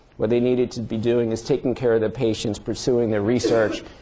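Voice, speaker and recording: A man with a slight New York accent speaks in a monotone, flat intonation. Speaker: surgeon and department chair. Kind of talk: lecture. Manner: frequent filler words, halting.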